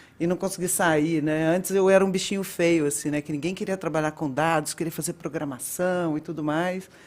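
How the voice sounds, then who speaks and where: With a Minas Gerais accent, a woman speaks at a fairly low pitch. Her pace is fairly quick and her intonation fairly even. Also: hardly any pauses. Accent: Minas Gerais (mineiro). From Minas Gerais, Brazil. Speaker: data and analytics director. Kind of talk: casual interview chat.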